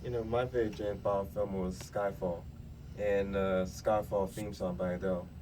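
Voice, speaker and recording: Mumbling from a man with a dark, mellow tone, ordinary pitch variation and a moderate pace, with audible room echo. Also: fairly low pitch for a man. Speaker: youth radio host. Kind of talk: casual chat.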